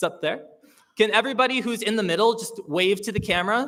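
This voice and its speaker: Loud and high-pitched, a man speaks with a Canadian accent in a bright, sharp tone. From Hamilton, Ontario, Canada. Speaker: awards show host. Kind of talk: live event hosting with comedy. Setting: stage with live audience, live-streamed. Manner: loud, projecting; animated, jokey.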